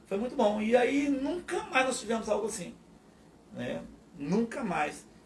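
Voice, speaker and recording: Audible room echo surrounds a man who talks at a fairly slow pace in a high pitch with lively intonation. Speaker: pastor. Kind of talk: testimony. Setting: live podcast.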